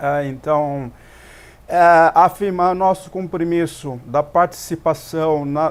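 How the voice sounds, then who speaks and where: A man talks very slowly, his voice pitched fairly high. His intonation stays fairly even. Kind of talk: TV talk show interview. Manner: halting, with many repetitions.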